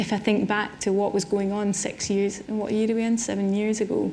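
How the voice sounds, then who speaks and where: Heard with audible room echo, a woman with a Scottish accent speaks at a moderate pace in a dark, mellow tone at a fairly high pitch. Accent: Scottish, noticeable. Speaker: artist. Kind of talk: public conversation on stage. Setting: symposium with audience. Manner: hesitant, repeats words.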